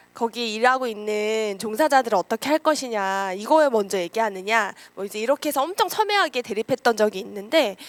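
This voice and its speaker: Her fairly high voice moves at a fairly quick pace with hardly any pauses and ordinary pitch variation, the sound dry and close with no echo. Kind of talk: lecture. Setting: lecture room with audience.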